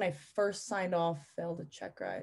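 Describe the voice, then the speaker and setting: A woman with a New York accent against a quiet background. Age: 20s. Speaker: pilot and flight instructor. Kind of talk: casual chat.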